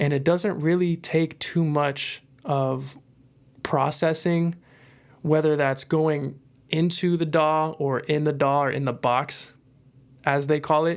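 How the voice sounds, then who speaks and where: Very slowly, a man speaks in a monotone, flat intonation. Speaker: musician and mic reviewer. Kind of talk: product review. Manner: casual, filler-heavy. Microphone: close to mic, strong proximity effect.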